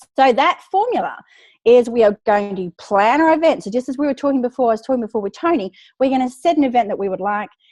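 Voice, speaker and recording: A woman's high, animated voice with a slight Australian accent, very fast and lively in intonation, in a dry, close sound with no echo and a quiet background. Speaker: book publicity expert. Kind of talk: webinar presentation.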